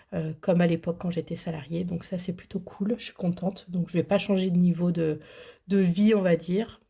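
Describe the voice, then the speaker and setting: A woman's fairly low, somewhat breathy voice with a dark, mellow tone and monotone, flat intonation, at a moderate pace on a very clean recording with a silent background. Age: 30s. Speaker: budgeting vlogger. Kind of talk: casual vlog. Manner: hesitant, many fillers.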